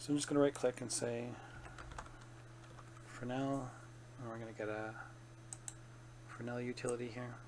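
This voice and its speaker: There is noticeable background noise. A man speaks in a flat monotone, leaving long, frequent pauses. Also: medium pitch for a man, moderate pace. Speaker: 3D artist. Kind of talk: software tutorial narration. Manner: bored-sounding.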